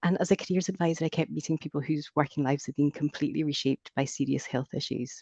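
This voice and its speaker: Very fast and with hardly any pauses, the speaker rattles along in a Scottish accent. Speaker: careers advisor presenting research. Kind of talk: research presentation. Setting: video call. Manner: scripted, measured.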